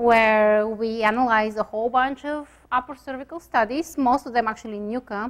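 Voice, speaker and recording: A woman speaks at a moderate pace with hardly any pauses, her pitch fairly high. Her intonation stays fairly even, in a Bulgarian accent. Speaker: chiropractic radiologist. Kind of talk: lecture. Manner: hesitant, many fillers.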